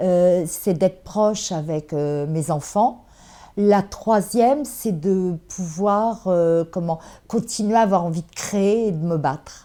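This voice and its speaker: A woman's very slow, dark and mellow voice at a medium pitch, with ordinary pitch variation and big swings in loudness, on a very clean recording with a silent background. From France, Le Havre. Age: 60s. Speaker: bookseller and café owner. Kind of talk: interview. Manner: hesitant.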